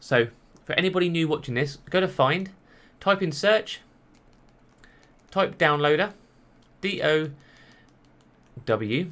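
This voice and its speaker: His voice sits fairly high for a man. The intonation moves in a lively way. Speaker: tech YouTuber. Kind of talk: tutorial. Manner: fast.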